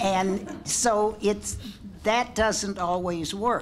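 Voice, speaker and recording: There is audible room echo as a woman with a medium pitch speaks at a very slow pace. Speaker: panelist. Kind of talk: panel discussion.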